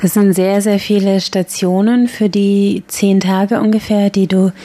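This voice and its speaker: The speaker is a woman with a medium pitch. Her voice has a dark, mellow tone. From Bavaria, Germany (Regensburg). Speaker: radio host. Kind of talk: news reading. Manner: formal.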